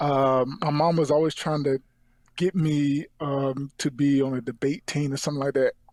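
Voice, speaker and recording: A man speaks at a moderate pace in an eastern North Carolina accent, his fairly high voice flat and monotone, its loudness very even, the sound dry and close with no echo. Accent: US Southern (eastern North Carolina). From North Carolina, Rocky Mount. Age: 40s. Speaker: actor. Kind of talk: interview. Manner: stutter; halting.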